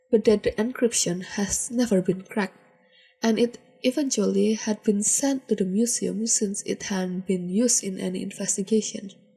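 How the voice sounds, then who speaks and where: A woman speaks at a moderate pace in a fairly high-pitched, somewhat breathy voice. Her tone is dark and mellow, with ordinary pitch variation. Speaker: podfic reader. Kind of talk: fan fiction audiobook reading.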